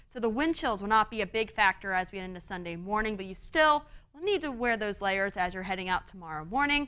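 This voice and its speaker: A woman speaks at a very fast pace in an upbeat tone. Her loudness swings widely. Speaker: TV meteorologist. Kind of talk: TV weather forecast, broadcast report with a co-anchor exchange. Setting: TV studio. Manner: upbeat, clear, polished broadcast delivery; steady, brisk, explanatory pace walking through maps and temperatures. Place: studio. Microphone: lapel.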